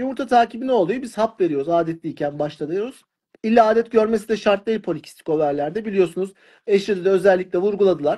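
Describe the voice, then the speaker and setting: Speaking at a very fast pace, a man with a high pitch and a dark, mellow tone is heard over a quiet background. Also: lively intonation. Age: 40s. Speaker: fertility doctor. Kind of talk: live stream Q&A interview. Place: home room. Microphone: phone near.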